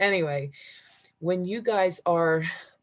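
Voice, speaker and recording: A woman's voice at a medium pitch. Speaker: spiritual teacher. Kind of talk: live-streamed class. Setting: livestream.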